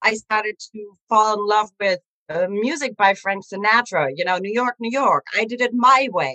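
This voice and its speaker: A woman speaks at a fairly high pitch with a bright, sharp tone. The sound is dry and close, with no echo. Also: ordinary pitch variation, moderate pace. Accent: German. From Germany. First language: German. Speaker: animal communicator. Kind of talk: interview storytelling.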